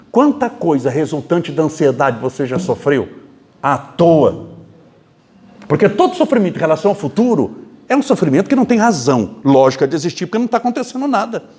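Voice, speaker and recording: A man with a high pitch, an animated tone, very wide pitch swings and a fairly quick pace. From Brazil, interior of São Paulo state. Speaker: spiritist lecturer. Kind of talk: lecture.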